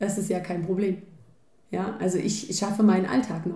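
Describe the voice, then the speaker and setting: The voice has a dark, mellow tone, somewhat breathy, moving at a moderate pace. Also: woman. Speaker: podcast co-host. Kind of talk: casual chat. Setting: home kitchen.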